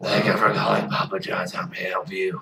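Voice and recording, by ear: Putting on a raspy character voice, a man talks at a fairly quick pace.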